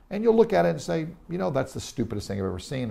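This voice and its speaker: Audible room echo surrounds a man with a dark, mellow tone and an American accent. His pitch swings very widely. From Tennessee, US South. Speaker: real estate investor and speaker. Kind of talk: interview. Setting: in Israel. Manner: animated.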